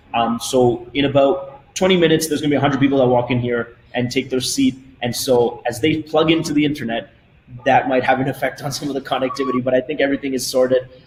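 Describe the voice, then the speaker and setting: A man delivers his words at a very fast pace and with fairly even intonation while noticeable background noise carries on behind him. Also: medium pitch for a man. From Canada, Toronto. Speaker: company CEO. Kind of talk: webinar presentation.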